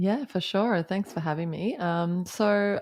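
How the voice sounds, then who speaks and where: A woman talks with an Australian accent, recorded very cleanly against a silent background. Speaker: company founder and CEO. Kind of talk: interview.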